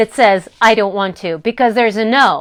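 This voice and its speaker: A woman speaks with an American accent at a moderate pace. The recording is very clean, with a silent background. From US Midwest. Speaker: life coach. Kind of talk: live stream coaching talk. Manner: casual.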